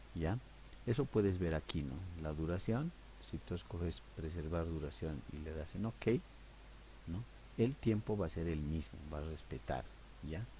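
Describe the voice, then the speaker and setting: With a very deep, low pitch that swings very widely, a man speaks fairly slowly in a dark, mellow tone with vocal fry. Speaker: audio editing teacher. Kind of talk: tutorial. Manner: conversational, hesitant fillers.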